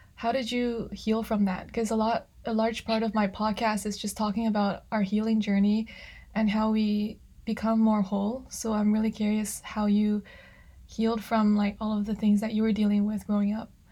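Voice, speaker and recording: Her voice is somewhat breathy and dark and mellow in tone, a woman speaking at a fairly high pitch in a monotone, flat way. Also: moderate pace. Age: 20s. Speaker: podcast host. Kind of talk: interview. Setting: video call.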